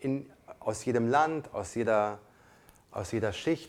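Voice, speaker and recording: A man with a non-native accent, fairly slow, with very wide pitch swings. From came to Germany as a child refugee. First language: not German (speaking German). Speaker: podcast co-host. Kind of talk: casual chat.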